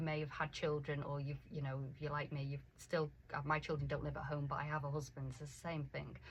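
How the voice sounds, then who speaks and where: A woman with a very deep, low pitch speaks at a fairly quick pace, her voice showing vocal fry. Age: 50s. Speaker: life coach for women. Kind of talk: radio interview. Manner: animated.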